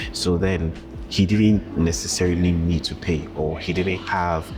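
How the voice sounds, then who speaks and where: Over background music, a man talks in a very deep, low voice. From Ghana. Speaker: travel vlogger. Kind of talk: vlog monologue. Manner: casual, with fillers.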